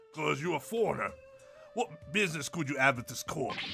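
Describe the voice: A man's put-on, gravelly character voice, fairly high in pitch with lively intonation and a fairly quick pace, over background music.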